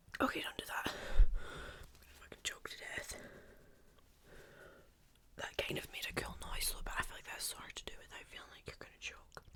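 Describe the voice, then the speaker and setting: Whispering in a relaxed tone, the speaker moves at a moderate pace with long, frequent pauses against noticeable background noise. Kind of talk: casual talk to camera, ASMR video. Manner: soft-spoken, whispery, relaxed.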